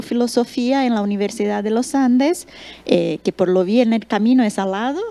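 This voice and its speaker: A woman speaks with an unremarkable speaking voice. Her pitch is fairly high, with ordinary pitch variation. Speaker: panel moderator. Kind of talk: panel moderation.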